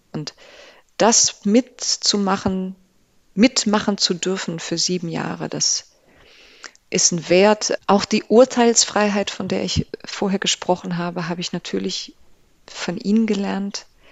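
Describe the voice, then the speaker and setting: A woman's medium-pitched voice, very slow in pace, with long, frequent pauses. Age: 40s. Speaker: classical contemporary singer. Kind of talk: interview. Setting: studio. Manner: animated.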